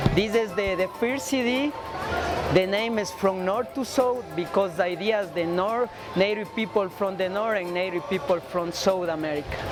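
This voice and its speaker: Music plays in the background as a woman speaks at a moderate pace in a medium pitch. Her pitch varies in an ordinary way, and room echo is audible. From Ecuador. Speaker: musician. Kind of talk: casual interview. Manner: halting, broken English.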